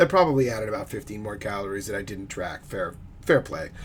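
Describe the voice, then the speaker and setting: This man's pitch swings very widely as he talks. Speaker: fitness vlogger. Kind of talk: casual monologue vlog. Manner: fast; hesitant with fillers.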